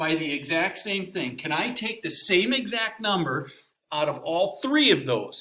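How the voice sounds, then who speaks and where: A man speaks in a raised, projected voice with an energetic tone. His pace is fairly slow, and his pitch swings very widely. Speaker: math teacher. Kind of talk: recorded lesson. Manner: casual, energetic.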